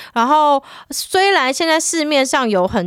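A woman speaks with very wide pitch swings. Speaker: podcast co-host. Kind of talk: casual chat.

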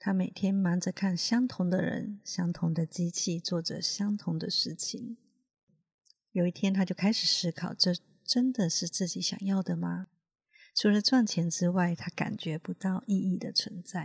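A woman talks in a calm, gentle tone that is somewhat breathy, with ordinary pitch variation. Her pace is fairly slow, and the sound is dry and close with no echo. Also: medium pitch for a woman. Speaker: healer and podcast host. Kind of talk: reflective monologue. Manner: calm and gentle.

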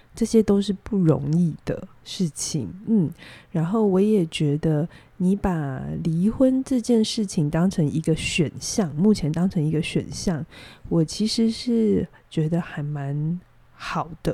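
Calm and somewhat breathy, a woman with a fairly low, dark, mellow voice speaks at a very slow pace yet with lively intonation. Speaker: psychologist. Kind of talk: advice-giving chat on a podcast. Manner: calm, measured with many fillers.

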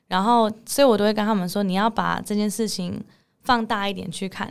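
A woman of medium pitch speaks at a moderate pace with fairly even intonation. The recording is very clean with a silent background. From Netherlands. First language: English (speaking Chinese). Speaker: English teacher. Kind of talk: interview.

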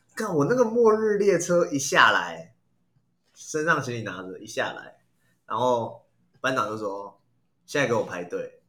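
This man's fairly high voice swings very widely in pitch and sharply in loudness, with a bright, sharp tone at a fairly slow pace. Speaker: podcast host. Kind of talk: casual chat.

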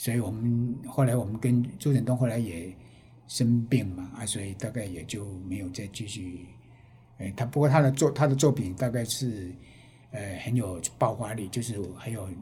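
At a moderate pace, a man speaks in a medium-pitched, somewhat breathy, dark, mellow voice with ordinary pitch variation and audible room echo. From Taiwan, Penghu. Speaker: artist and retired teacher. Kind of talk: interview.

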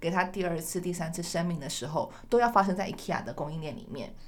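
Amid audible room echo, a woman talks at a fairly quick pace with a fairly low pitch. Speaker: podcast host. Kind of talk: interview.

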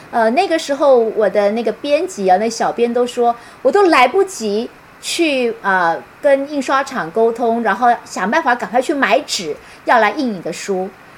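A woman with a high voice speaks at a moderate pace, her pitch swinging very widely, with noticeable background noise. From Taiwan. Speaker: university professor and author. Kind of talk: online book talk lecture. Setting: live-stream video call.

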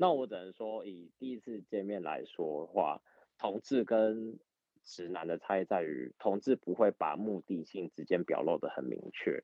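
In an unremarkable speaking voice, a man talks at a fairly slow pace, his fairly low pitch carried by lively intonation. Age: 30s. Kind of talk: casual chat.

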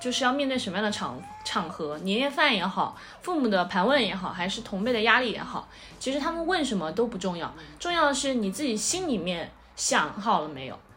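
A woman with a fairly high pitch talks at a moderate pace with very wide pitch swings, music in the background and audible room echo. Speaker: podcast host. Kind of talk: casual chat.

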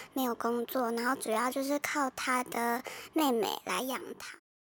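A woman's high-pitched voice at a moderate pace, dry and close with no echo. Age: young. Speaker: trainee counseling psychologist. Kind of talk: personal testimony. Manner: halting, many fillers.

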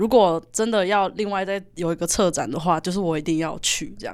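A woman's ordinary speaking voice at medium pitch, fairly quick in pace with ordinary pitch variation, on a very clean recording with a silent background. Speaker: university student, exhibition co-organizer. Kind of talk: casual chat.

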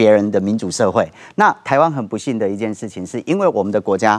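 Against a quiet background, a man speaks at a very fast pace in a fairly low pitch. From Taiwan, Kaohsiung. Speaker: political party founder and author. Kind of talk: TV political talk show discussion.

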